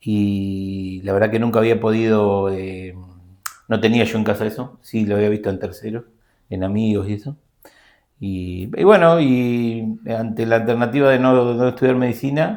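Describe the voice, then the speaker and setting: A man's voice with ordinary pitch variation is heard on a very clean recording with a silent background. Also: medium pitch for a man, moderate pace. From Argentina, Buenos Aires province. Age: 50s. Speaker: systems analyst and teacher. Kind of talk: interview. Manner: halting.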